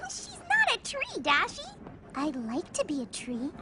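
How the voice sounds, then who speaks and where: A squeaky, bubbly cartoonish character voice that sounds female speaks high for a woman at a moderate pace over clear background noise. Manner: bubbly, excitable.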